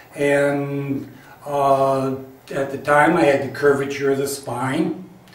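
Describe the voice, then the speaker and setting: A man's fairly high voice with audible room echo and noticeable background noise. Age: 60s. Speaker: health enthusiast sharing personal story. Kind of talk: personal testimony to camera. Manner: halting, with many fillers.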